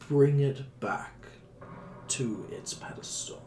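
A man's fairly high, put-on character voice, very slow, with clear background noise

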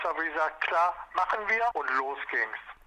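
A man's high-pitched voice at a fairly slow pace, with noticeable background noise. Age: 70s. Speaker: church men's group leader. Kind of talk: interview.

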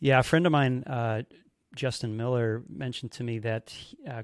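A man with an American accent and a plain, everyday voice, medium in pitch with ordinary variation, at a moderate pace, on a very clean recording with a silent background and a dry, close sound with no echo. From United States. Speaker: podcast host and magician. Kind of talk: interview.

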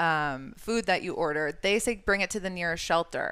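A woman with a slight New York accent speaks at a moderate pace in a fairly low pitch. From New York state. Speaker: animal shelter marketing manager. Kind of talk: casual interview chat.

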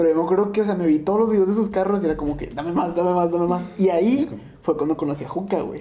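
With hardly any pauses, a high-pitched man rattles along at a very fast pace with ordinary pitch variation over noticeable background noise. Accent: Mexican. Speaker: podcast co-host. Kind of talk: casual chat.

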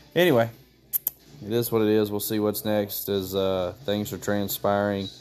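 Quietly, a man speaks at a moderate pace in a fairly low voice. His intonation stays fairly even. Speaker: wrestling commentator podcaster. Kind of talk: casual live show recap. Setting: at home holding baby. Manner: calm and quiet.

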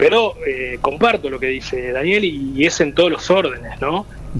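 Amid noticeable background noise, a man talks at a fairly slow pace in a fairly high pitch. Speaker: local political candidate. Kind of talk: radio panel discussion.

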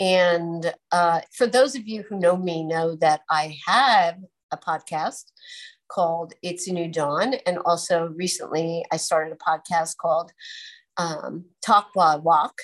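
Over a quiet background, a plain, everyday voice moves at a fairly slow pace with ordinary pitch variation. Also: woman, fairly low pitch for a woman. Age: 50s. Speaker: podcast host and holistic nurse. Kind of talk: casual chat.

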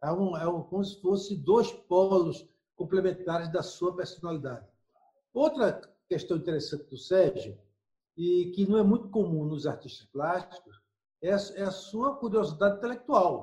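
A man at a high pitch for a man, with ordinary pitch variation and a fairly slow pace. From Brazil, Recife (Pernambuco). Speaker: scholar. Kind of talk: interview.

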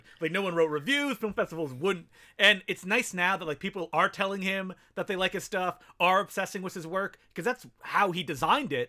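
A man's high, bright, sharp voice is raised and projected, moving at a fairly quick pace with ordinary pitch variation in a very clean recording with a silent background. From Canada, Ottawa and small French town. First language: French. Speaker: filmmaker and podcast host. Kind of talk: casual chat.

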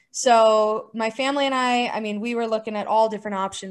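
A woman with a Southwestern US accent, fairly high pitch and fairly even intonation. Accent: American (Southwest). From Arizona. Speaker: former Olympic hockey player. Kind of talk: interview.

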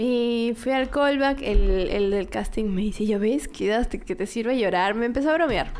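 An unremarkable speaking voice proceeds at a fairly slow pace with hardly any pauses and ordinary pitch variation. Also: woman, fairly high pitch for a woman. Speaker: fashion model. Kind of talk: casual chat.

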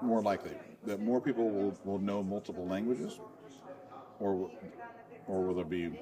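This man keeps a moderate pace and fairly even intonation, with long, frequent pauses and noticeable background noise behind him. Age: 40s. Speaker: comedy podcast host. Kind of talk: casual chat.

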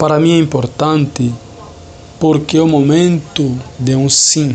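A man speaks at a very slow pace with fairly even intonation over noticeable background noise. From Angola, Lobito, Benguela. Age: 30s. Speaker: Franciscan friar, theology student. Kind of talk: personal testimony.

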